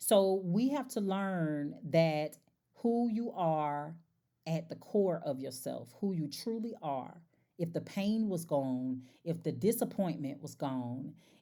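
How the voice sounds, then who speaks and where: A woman with a slight country accent speaks at a very slow pace and a fairly low pitch. Her tone is dark and mellow, and her intonation is lively. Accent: slight country twang. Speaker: life coach and podcast host. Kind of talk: casual monologue. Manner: animated.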